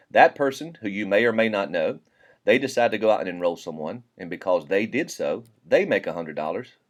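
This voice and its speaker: The man talks fairly quickly in a Southern US accent. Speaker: network marketing presenter. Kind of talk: sales pitch. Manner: casual, conversational.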